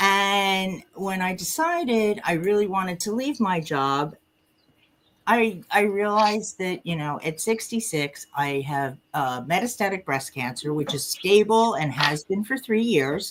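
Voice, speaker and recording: A woman speaks in a plain, everyday voice at a medium pitch. Her intonation is lively and her pace fairly slow. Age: 60s. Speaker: retired nurse. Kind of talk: casual chat.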